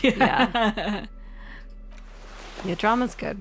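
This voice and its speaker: This woman talks very slowly, and music is heard in the background. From New Zealand. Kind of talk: casual let's play commentary.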